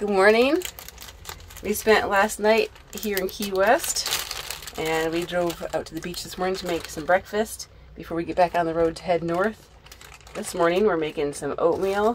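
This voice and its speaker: Over noticeable background noise, a woman talks at a moderate pace with ordinary pitch variation and big swings in loudness. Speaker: van life vlogger. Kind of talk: casual vlog chat. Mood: cheerful, smiling. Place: car.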